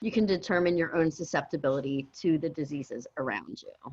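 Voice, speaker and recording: A woman's ordinary speaking voice with lively intonation, at a moderate pace over a quiet background. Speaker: dental infection control instructor. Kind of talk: online class review. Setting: video call.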